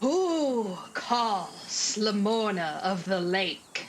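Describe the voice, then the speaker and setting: A booming, female-sounding put-on character voice at a medium pitch moves at a very slow pace. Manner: commanding.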